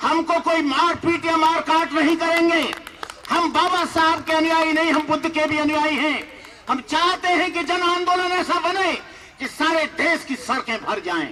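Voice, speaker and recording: Against noticeable background noise, a man with an extremely high pitch uses a raised, projected voice in a monotone, flat intonation. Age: 60s. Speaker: Buddhist monk. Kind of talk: public speech. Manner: impassioned.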